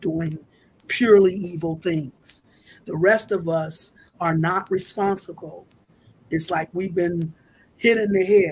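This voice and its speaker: A woman speaks at a very slow pace with long, frequent pauses. Her voice is somewhat breathy and fairly low in pitch, with fairly even intonation. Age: 70s. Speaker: spiritual speaker. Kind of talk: interview.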